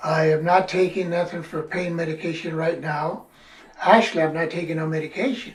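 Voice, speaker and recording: A man with a high pitch talks at a fairly quick pace with fairly even intonation. Noticeable background noise and audible room echo are present. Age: 80s+. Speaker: patient, military veteran. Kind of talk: testimony. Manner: halting.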